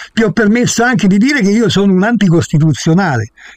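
A high-pitched man talking very fast with lively intonation over noticeable background noise. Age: 80s. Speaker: guest, former maths teacher. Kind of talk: heated debate.

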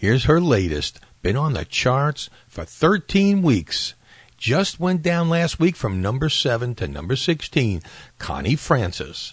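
A man speaks at a very slow pace with very wide pitch swings. His voice is somewhat breathy. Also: fairly high pitch for a man. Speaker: radio host. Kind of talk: 1960 radio dj patter, retro countdown show. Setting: radio show. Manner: warm, upbeat, chatty disc jockey delivery, friendly ad-libs between records.

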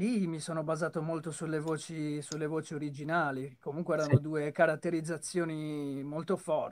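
This man has an ordinary speaking voice and a fairly high pitch, talking at a moderate pace with hardly any pauses. His intonation is fairly even. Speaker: voice actor and dubber. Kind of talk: casual chat. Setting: video call. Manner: clear trained diction. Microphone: too quiet.

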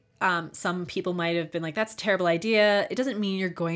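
In an American accent, a woman speaks at a medium pitch on a very clean recording with a silent background. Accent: Baltimore accent, fading. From US, Baltimore. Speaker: podcast host. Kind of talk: solo monologue podcast. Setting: home studio.

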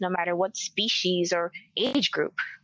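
A woman with a Spanish accent against a quiet background. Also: dry, close sound with no echo. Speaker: occult researcher. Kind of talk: interview conversation.

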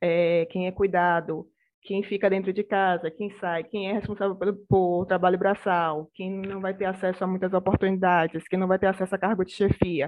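Her medium-pitched voice stays monotone and flat as the woman moves at a moderate pace with hardly any pauses. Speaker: public policy researcher. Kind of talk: panel discussion.

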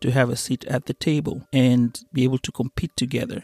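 A man's medium-pitched voice with an East African accent, dark and mellow in tone, recorded with a dry, close sound and no echo. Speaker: podcast host. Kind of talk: solo monologue podcast.

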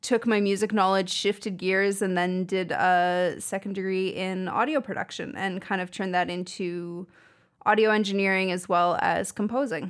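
At a moderate pace, this is an ordinary speaking voice. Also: woman. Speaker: audio engineer and musician. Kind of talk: casual interview chat.

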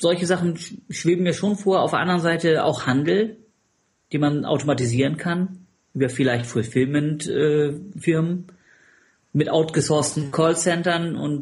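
The delivery, at a moderate pace, is somewhat breathy and shows ordinary pitch variation. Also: man. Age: 40s. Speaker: competitive swimmer and business consultant. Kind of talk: casual interview.

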